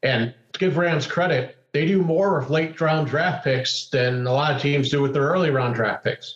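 A man with a normal speaking voice, fairly high pitch, ordinary pitch variation and a moderate pace. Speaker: sports podcast co-host. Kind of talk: casual chat.

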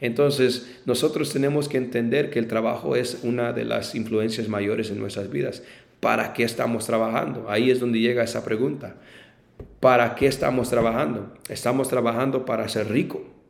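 Fairly even intonation at a moderate pace, with audible room echo. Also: man, medium pitch for a man. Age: 20s. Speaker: pastor. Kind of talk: casual chat. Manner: halting.

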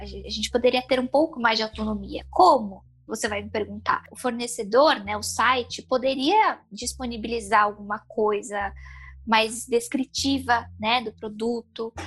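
Speaking at a fairly slow pace, a woman's voice shows big swings in loudness. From São Paulo, Brazil. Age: 20s. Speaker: blind makeup enthusiast. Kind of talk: interview.

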